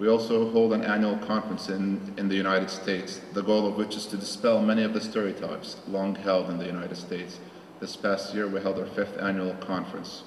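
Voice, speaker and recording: A man's fairly low, monotone voice with flat intonation, a fairly quick pace and hardly any pauses, over noticeable background noise. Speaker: alumni association president. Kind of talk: conference welcome speech. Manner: formal.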